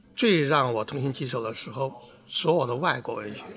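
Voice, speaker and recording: Noticeable background noise fills the recording. The man talks at a fairly quick pace. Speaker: author. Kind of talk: interview recollection.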